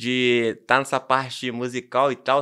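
Against a quiet background, a man's tone comes through bright and sharp. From Rio de Janeiro state, Brazil. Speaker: DJ and music producer; DJ. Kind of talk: casual chat. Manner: slangy, rambling. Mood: relaxed, casual. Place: studio. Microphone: studio mic.

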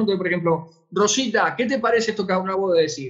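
Lively intonation marks this man's high-pitched voice. The background is quiet. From Argentina. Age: 50s. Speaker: online education lecturer. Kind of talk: webinar lecture with Q&A. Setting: online webinar broadcast. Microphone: webcam.

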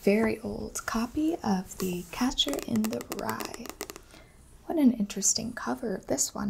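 A soft-spoken woman talks in a gentle tone at a moderate pace. Noticeable background noise sits behind her. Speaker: bookseller or librarian roleplay. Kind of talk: soft roleplay narration. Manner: soft-spoken gentle ASMR voice. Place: home room.

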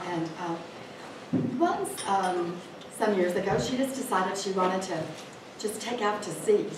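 Over noticeable background noise and audible room echo, a woman speaks at a fairly slow pace with lively intonation and long, frequent pauses. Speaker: library event organizer. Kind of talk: event introduction. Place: hall. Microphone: camera far.

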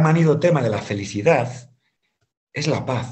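A somewhat breathy man with fairly high pitch and lively intonation, against a quiet background. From Galicia, Spain (Santiago de Compostela); Galicia. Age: 50s. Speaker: economics teacher and businessman; guest. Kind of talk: testimony. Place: home room.

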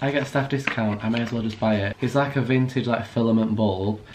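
A man talks very fast with fairly even intonation over noticeable background noise. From England. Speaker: vlogger. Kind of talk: casual vlog talk to camera. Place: home room. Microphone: phone near.

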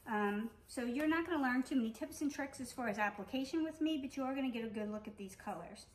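A woman talks at a very fast pace with hardly any pauses. Her high pitch shows ordinary variation. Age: 40s. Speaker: beauty vlogger. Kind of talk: product review tutorial. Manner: casual, with frequent hesitations. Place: home room. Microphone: phone near.

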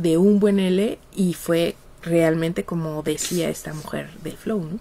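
A woman talks at a very slow pace. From Mexico. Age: 50s. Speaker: psychologist and researcher; radio guest. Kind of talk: interview. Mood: relaxed, laughing at times. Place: studio. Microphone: studio mic.

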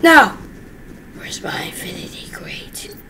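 Someone whispers at a very slow pace. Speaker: gaming youtuber. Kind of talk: gameplay commentary. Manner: animated.

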